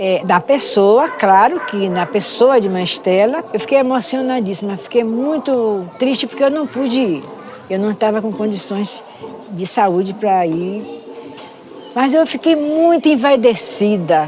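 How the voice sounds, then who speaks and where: A woman speaks at a fairly slow pace with a fairly high pitch and lively intonation, over noticeable background noise. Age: 70s. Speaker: Candomblé priestess. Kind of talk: interview testimony.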